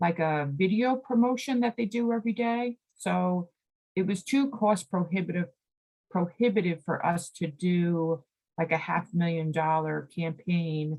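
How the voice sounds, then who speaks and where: A somewhat breathy woman's voice, fairly low in pitch. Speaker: executive director of a state environmental nonprofit, presenter. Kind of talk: presentation at a committee meeting.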